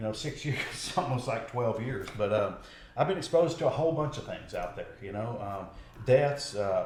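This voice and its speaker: A man with a medium pitch talks at a moderate pace, with lively intonation and big swings in loudness. Noticeable background noise and audible room echo fill the recording. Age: 40s. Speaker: political candidate, patrol deputy. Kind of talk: interview.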